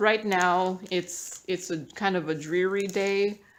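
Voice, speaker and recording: A woman's voice of medium pitch. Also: very clean recording, silent background. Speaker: craft hobby YouTuber. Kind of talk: casual hobby tutorial. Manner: chatty, hesitant with fillers. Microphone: tablet built-in mic.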